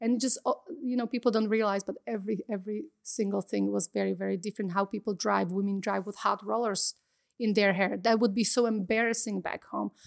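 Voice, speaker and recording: With a Slovak accent, a woman speaks at a medium pitch and a fairly quick pace, her intonation fairly even, in a very clean recording with a silent background and a dry, close sound with no echo. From Slovakia. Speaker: model, actress and entrepreneur. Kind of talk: interview.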